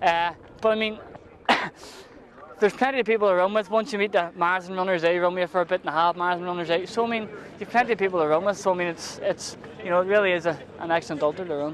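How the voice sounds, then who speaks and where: A man with a Northern Irish accent talks at a very fast pace and high pitch. Long, frequent pauses break up his speech amid noticeable background noise. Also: fairly even intonation. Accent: Northern Irish (Belfast). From Northern Ireland, Belfast. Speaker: ultramarathon runner. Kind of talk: post-race interview.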